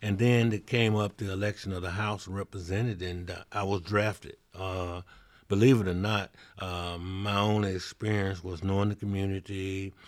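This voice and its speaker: A man with a Mississippi accent speaks at a moderate pace in a fairly low voice, his intonation monotone and flat, on a very clean recording with a silent background. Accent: Southern US (Mississippi). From Mississippi, Vicksburg. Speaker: mayor. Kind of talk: interview. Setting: on location in his city.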